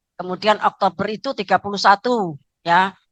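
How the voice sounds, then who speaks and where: In a plain, everyday voice, a woman speaks at a moderate pace with a medium pitch and ordinary pitch variation, recorded dry and close with no echo. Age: 60s. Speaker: pastor. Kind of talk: sermon. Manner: frequent filler 'ya'.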